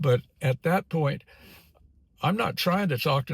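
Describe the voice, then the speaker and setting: The man's voice is somewhat breathy. The recording is very clean, with a silent background. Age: 80s+. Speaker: YouTuber, retiree. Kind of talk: casual vlog monologue. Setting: in a car, filming while driving. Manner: halting, many repetitions and fillers.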